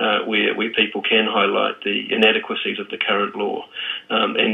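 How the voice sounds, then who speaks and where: A man speaks at a moderate tempo. Noticeable background noise is heard behind him. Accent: New Zealand. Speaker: drug policy advocate. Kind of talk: radio interview. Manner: halting, many fillers and repeats.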